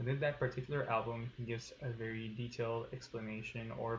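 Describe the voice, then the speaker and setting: Over noticeable background noise, a man talks at a medium pitch and a fairly quick pace. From Tijuana, Mexico. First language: Spanish. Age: 20s. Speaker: student. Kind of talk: class presentation. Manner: hesitant with fillers.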